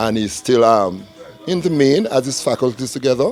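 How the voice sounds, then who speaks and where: A man's voice with ordinary pitch variation, music in the background. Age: 60s. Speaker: community elder. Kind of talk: interview.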